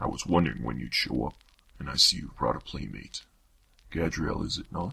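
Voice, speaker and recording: Putting on a character voice, a man talks at a fairly quick pace with a very deep, low pitch. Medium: audio drama. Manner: smooth, mocking, condescending.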